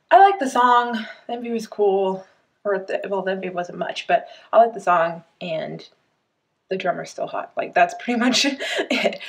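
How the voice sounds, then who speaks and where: A woman at a moderate pace, with very wide pitch swings and big swings in loudness. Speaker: reaction vlogger. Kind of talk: casual vlog chat. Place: home room. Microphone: webcam.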